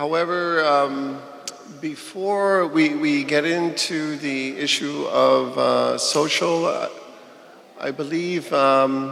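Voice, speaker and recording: Over noticeable background noise, a man talks at a very slow pace in a fairly high pitch with fairly even intonation. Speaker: community meeting chair. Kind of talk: meeting announcement. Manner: hesitant, halting.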